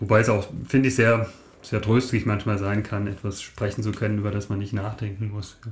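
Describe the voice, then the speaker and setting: A somewhat breathy man speaks at a fairly quick pace. His pitch is fairly low and his intonation monotone, flat. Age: 50s. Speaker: mathematician and lay preacher. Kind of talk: casual chat. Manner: halting.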